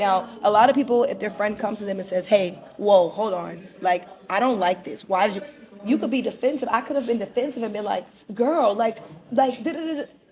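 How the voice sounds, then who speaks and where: Against noticeable background noise, a woman speaks at a fairly quick pace and fairly high pitch. Her tone is animated, with ordinary pitch variation. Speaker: podcast host. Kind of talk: casual chat. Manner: loud.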